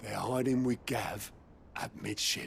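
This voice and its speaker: Using a put-on character voice, a man speaks raspily at medium pitch and a fairly slow pace over clear background noise. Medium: video game.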